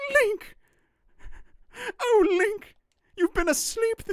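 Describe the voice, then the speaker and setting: An extremely high, female-sounding put-on character voice. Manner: soft, gentle, calling out.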